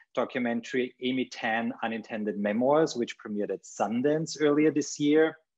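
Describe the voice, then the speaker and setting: Against a quiet background, a man talks at a moderate pace. His pitch varies in an ordinary way. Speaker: panel host. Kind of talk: formal introduction. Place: home room. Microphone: webcam.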